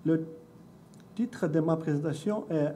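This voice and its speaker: A man with a non-native accent speaks in a dark, mellow, somewhat breathy voice with audible room echo. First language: not French (speaking French). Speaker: education researcher and doctoral student. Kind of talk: conference presentation. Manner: halting, with self-corrections.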